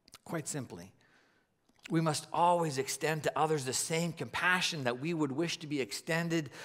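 A man's voice with ordinary pitch variation against a quiet background. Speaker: preacher. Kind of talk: sermon. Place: stage. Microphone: headset.

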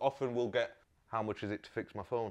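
This man talks at a fairly quick pace in a slightly mellow tone.

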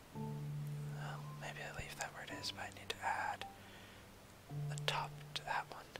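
Whispering comes at a fairly slow pace with long, frequent pauses. Loud music plays in the background. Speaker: gameplay narrator. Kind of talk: casual gameplay commentary, soft-spoken ASMR. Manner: soft-spoken. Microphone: studio mic.

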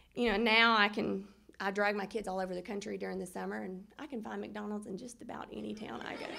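A woman with a Southern US accent talks at a very fast pace, her loudness swinging widely. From US South, Middle Tennessee; Tennessee. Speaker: hall of fame inductee, former basketball player. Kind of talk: acceptance speech. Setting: banquet room with audience. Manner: halting, many fillers. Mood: warm, reminiscing. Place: hall. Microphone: podium.

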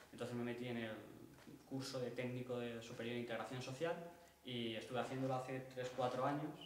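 A man speaks in a monotone, flat intonation at a fairly quick pace, with audible room echo and light background noise. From Spain. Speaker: workshop participant. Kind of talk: personal testimony. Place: stage. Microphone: camera far.

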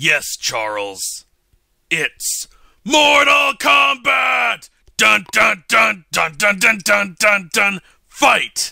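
A man's put-on character voice, high-pitched and raspy, shouting at a very slow pace. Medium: audio drama. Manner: grandiose, theatrical.

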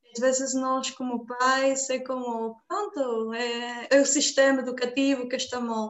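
Very slowly, a woman speaks at a high pitch with fairly even intonation. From Mexico. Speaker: event moderator. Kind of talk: online event moderation. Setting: video call. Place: home room. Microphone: video call.

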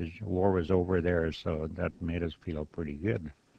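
With an American accent, a man speaks at a moderate pace in a very deep, low voice, dark and mellow in tone, with fairly even intonation. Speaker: war veteran. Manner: terse, plainspoken answers, often just a few words; halting, repeating words and trailing off.

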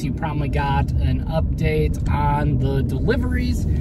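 A man talks with ordinary pitch variation. The sound is dry with no echo, and the background noise is loud. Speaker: toy collector vlogger. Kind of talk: casual vlog chat. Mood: upbeat, excited. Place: car. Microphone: phone near.

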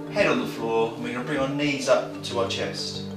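A man talks at a fairly quick pace with audible room echo. Music plays clearly in the background. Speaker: personal trainer. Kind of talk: tutorial. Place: gym.

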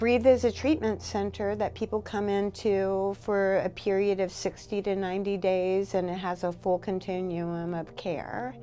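A woman speaks at a moderate pace with ordinary pitch variation and hardly any pauses. Faint music plays in the background. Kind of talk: interview answer. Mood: earnest, personal story. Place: office.

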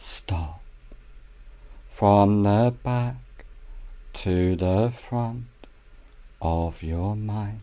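A soothing, dark and mellow voice at a very slow pace, with long, frequent pauses and ordinary pitch variation. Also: man, fairly low pitch for a man. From Australia. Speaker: hypnotherapist. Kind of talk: guided hypnosis meditation. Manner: slow, soothing, repetitive.

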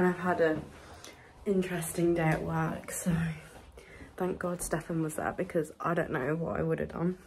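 A woman speaks, with light background noise audible behind her. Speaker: vlogger. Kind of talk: casual vlog chat. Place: home room. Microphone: phone near.

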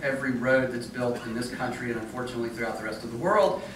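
The recording has audible room echo. Noticeable background noise is present too. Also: man. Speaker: conference presenter. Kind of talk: presentation talk. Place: hall.

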